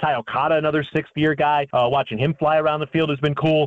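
A man talks at a very fast pace with an American accent. His fairly high voice stays monotone, with flat intonation. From Chicago, Illinois. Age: 30s. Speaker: sports play-by-play announcer. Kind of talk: casual chat.

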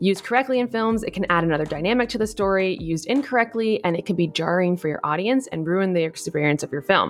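Over noticeable background noise, a woman speaks very fast at a medium pitch. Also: lively intonation, hardly any pauses. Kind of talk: casual chat.

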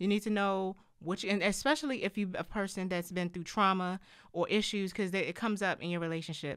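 On a very clean recording with a silent background, a woman talks very fast at medium pitch with ordinary pitch variation. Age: 30s. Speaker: podcast co-host. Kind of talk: casual chat. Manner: quiet.

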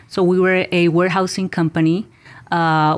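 Her intonation monotone and flat, a woman talks at a moderate pace with a fairly low pitch. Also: very clean recording, silent background. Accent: Spanish. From Mexico. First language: Spanish. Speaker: business owner. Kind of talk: interview.

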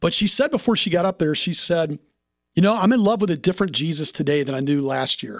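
Rattling along at a very fast pace, a man with an American accent uses a high pitch and lively intonation. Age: 50s. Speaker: podcast host, men's ministry director. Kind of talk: interview conversation.

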